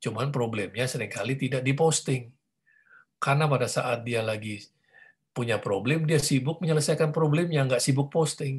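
A man speaks at a medium pitch in a somewhat breathy voice. The background is quiet. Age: 50s. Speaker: pastor. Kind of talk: teaching talk. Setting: video call. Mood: warm, conversational. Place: home room. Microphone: video call.

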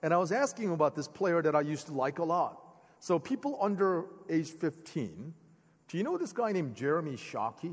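A fairly quick pace and lively intonation over a quiet background. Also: man. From born in Korea, grew up in the US (Philadelphia). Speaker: preacher. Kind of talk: sermon. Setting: church sanctuary with congregation. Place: church. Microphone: headset.

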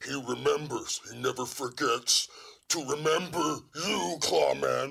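Raspy and fairly high, a man's cartoonish character voice moves at a fairly slow pace.

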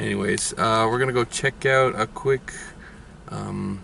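At a fairly slow pace, the speech comes through with a dry sound and no echo amid noticeable background noise. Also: man. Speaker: family road trip vlogger. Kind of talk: casual vlog chat. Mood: light-hearted, mildly exasperated. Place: car.

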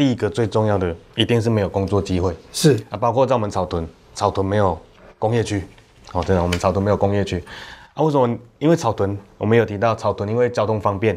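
A man talking at a very fast pace, broken by long, frequent pauses, over light background noise. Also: fairly low pitch for a man, ordinary pitch variation. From Taiwan. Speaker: county councillor; council guest. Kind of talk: panel discussion. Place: studio. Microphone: lapel.

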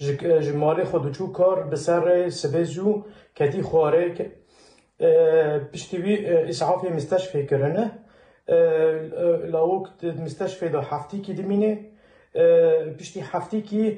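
In a Kurdish accent, a man speaks very slowly at a high pitch with fairly even intonation. The background is quiet, though room echo is audible. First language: Kurdish (speaking Arabic). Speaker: relative of the deceased; witness. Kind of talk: interview testimony; personal account to camera. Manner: halting. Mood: serious, recounting events. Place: home room.

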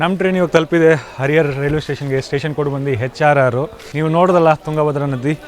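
A man's fairly high voice in fairly even intonation, over noticeable background noise. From Uttar Pradesh, India. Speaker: travel vlogger. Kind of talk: travel vlog narration. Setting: on a moving train. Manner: casual, English-mixed.

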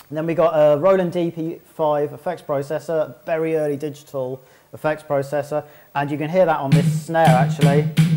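Over faint background music, a man speaks at a moderate pace in a flat, monotone delivery. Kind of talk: demonstration tour chat. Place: hall. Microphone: camera far.

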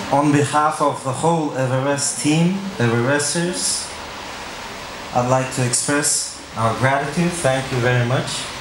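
In an Uzbek accent, a man with a fairly high voice speaks fairly slowly, with fairly even intonation and very even loudness, over noticeable background noise and audible room echo. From Uzbekistan. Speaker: event host. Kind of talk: event presentation. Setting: auditorium with live audience. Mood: grateful, formal thanks. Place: hall.

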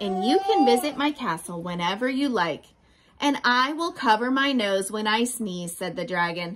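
Lively intonation in a natural reading voice.

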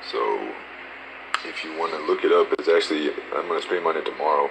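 A man speaks at a moderate pace and an extremely low pitch, with vocal fry and ordinary pitch variation. Background noise is clearly audible.

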